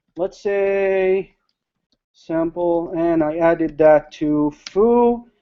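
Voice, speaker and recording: At a very slow pace, a speaker with a non-native accent talks. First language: not English. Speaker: workshop instructor. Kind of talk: lecture. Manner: conversational, checks in with audience.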